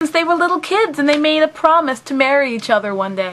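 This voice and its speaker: Her voice raised and projected, a woman talks at a fairly quick pace and a high pitch, with very wide pitch swings. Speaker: anime reviewer. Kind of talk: casual talk to camera.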